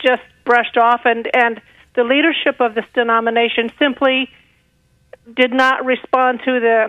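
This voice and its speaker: A woman speaks at a fairly slow pace in a high pitch, with fairly even intonation. Her loudness stays very even, and she leaves long, frequent pauses. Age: 60s. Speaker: caller. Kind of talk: phone-in conversation. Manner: halting.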